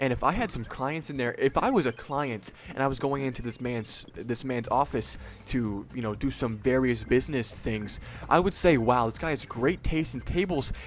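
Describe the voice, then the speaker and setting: There is noticeable background noise as a man talks in a medium pitch. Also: ordinary pitch variation. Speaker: online video host ranking products. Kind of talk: casual product ranking commentary. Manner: fast; hesitant with fillers.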